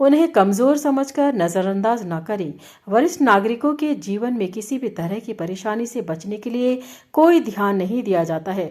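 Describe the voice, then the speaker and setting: A woman's fairly high voice rises and falls in very wide pitch swings. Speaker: radio jockey. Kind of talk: radio-style commentary read to camera.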